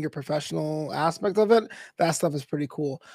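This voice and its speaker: On a very clean recording with a silent background, a man speaks in a high pitch with ordinary pitch variation. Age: 30s. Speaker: esports commentator and comedian. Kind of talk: interview. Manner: animated.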